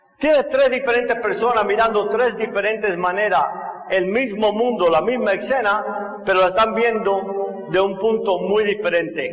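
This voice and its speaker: A man with a Cuban accent and high pitch speaks at a moderate pace with fairly even intonation and very even loudness. Noticeable background noise and audible room echo surround him. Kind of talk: testimony talk.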